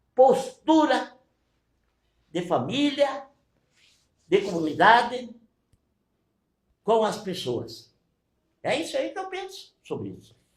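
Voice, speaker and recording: The tone is animated, with big swings in loudness. Long pauses come frequently. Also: man. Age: 70s. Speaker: mayor. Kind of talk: press conference. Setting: press conference in mayor's office.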